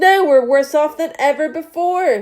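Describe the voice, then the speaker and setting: A woman puts on a squeaky character voice, pitched high and delivered at a moderate pace. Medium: read story. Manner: courteous, grandfatherly.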